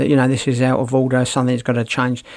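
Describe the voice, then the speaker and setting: This man's voice sits at a medium pitch. He speaks with a British accent. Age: 60s. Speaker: podcaster. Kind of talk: casual monologue.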